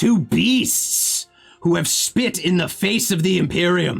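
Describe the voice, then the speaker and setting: A put-on character voice speaks at a middle pitch and a very slow pace. Faint music plays in the background. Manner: shouting.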